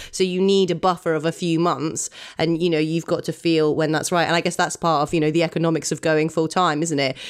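Speech in a British accent runs very fast with hardly any pauses. The intonation is monotone and flat. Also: woman, fairly low pitch for a woman, very even loudness. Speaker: burlesque performer and podcast co-host. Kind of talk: casual chat. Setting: video call. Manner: laughs a lot.

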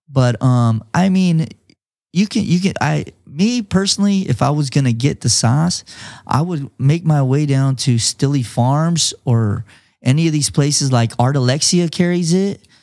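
A man with an American accent speaks in a dark, mellow tone with lively intonation. His loudness stays very even, and the recording is very clean with a silent background. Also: moderate pace. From Imperial Valley, California. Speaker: hot sauce entrepreneur. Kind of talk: casual interview chat.

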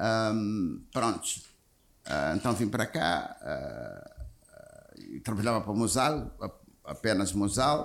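A man talks very slowly, with long, frequent pauses breaking up his speech. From Mozambique. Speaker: insurance executive. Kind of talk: interview. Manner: halting.

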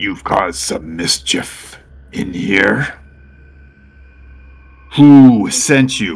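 A man's put-on character voice, fairly low in pitch, at a very slow pace with long, frequent pauses. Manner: menacing, bored, blunt.

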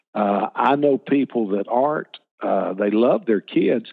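A man talks in a Southern US accent. His intonation is lively. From Alabama, US South. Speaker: children's ministry leader. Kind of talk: interview. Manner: animated.

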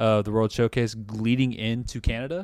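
Very clean recording, silent background, with a man in a normal speaking voice, medium pitch, fairly even intonation, moderate pace. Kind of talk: casual chat.

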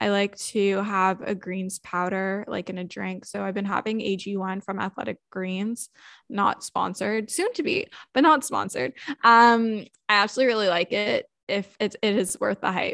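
A woman with a Canadian accent uses a normal speaking voice at a moderate pace, medium in pitch with ordinary variation, in a dry, close sound with no echo and a quiet background. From Canada. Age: 20s. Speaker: content creator. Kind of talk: casual chat.

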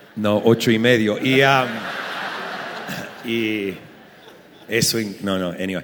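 The voice moves very slowly with fairly even intonation. Audible room echo and noticeable background noise are present. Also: man, fairly low pitch for a man. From Argentina. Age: 40s. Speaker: pastor. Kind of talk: live podcast conversation. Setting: live recording at a conference.

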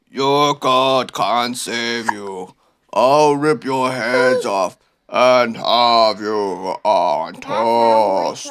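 A booming, bellowing put-on character voice at a very slow pace. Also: man, medium pitch for a man. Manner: menacing, bellowing.

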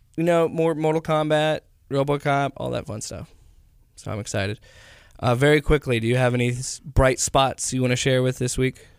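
A man talks at a moderate pace in a normal speaking voice, with fairly even intonation. The sound is dry and close, with no echo. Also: medium pitch for a man, very clean recording, silent background. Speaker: podcast host. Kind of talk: casual chat.

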